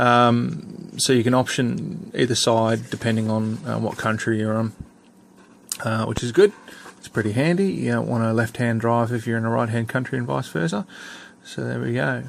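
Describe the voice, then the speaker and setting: A man talks at a medium pitch with an Australian accent. His intonation is lively and his pace moderate. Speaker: scale model hobbyist reviewer. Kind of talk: unboxing review. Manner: casual, hesitant with many fillers.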